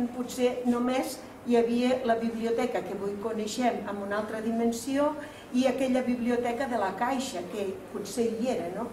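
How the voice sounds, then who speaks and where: With audible room echo and light background noise, a woman speaks at a fairly slow pace in a high pitch with fairly even intonation. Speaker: cultural association president. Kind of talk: formal speech at event. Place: hall. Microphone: camera far.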